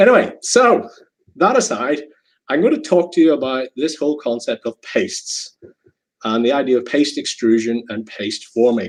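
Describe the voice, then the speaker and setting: Speaking at a moderate pace with a Northern Irish accent, a man with a fairly high voice makes very wide pitch swings. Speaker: chemical engineering professor. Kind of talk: lecture. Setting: video call.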